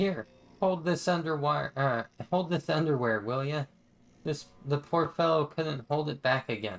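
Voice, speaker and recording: In a put-on character voice, a man rumbles at a moderate pace with a fairly high pitch. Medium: game stream. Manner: grumbling, condescending.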